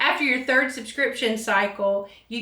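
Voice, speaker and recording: A woman's fairly high, fairly evenly intoned voice, with audible room echo and noticeable background noise. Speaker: hair tutorial youtuber. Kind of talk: tutorial. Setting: home filming at desk. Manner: soft-spoken.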